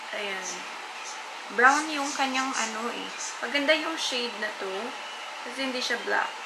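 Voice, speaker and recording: A woman's voice amid loud background noise. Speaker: beauty vlogger. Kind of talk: casual makeup tutorial chat. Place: home room. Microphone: camera far.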